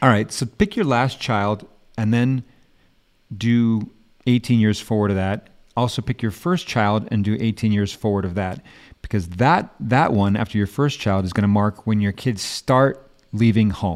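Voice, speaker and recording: A plain, everyday voice at a moderate pace, ordinary pitch variation, very clean recording with a silent background. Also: man, fairly low pitch for a man. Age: 50s. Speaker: podcast host, life coach. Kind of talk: casual chat.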